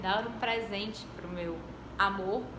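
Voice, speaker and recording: Over noticeable background noise and audible room echo, the speaker goes at a very slow pace with ordinary pitch variation. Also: woman. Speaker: law professor. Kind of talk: lecture.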